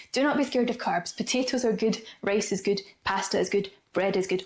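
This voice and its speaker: Over noticeable background noise, a woman with a Scottish accent talks at a fairly quick pace in an upbeat tone, her fairly high pitch showing ordinary variation. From Scotland. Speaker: Pilates and movement coach. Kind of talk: casual talk to camera. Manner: chatty, upbeat.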